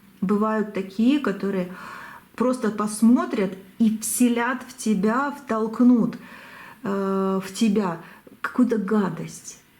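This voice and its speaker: A woman speaks at a very slow pace in a fairly high voice. Her long, frequent pauses carry audible room echo. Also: ordinary pitch variation. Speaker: tarot reader. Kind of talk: tarot reading. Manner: halting.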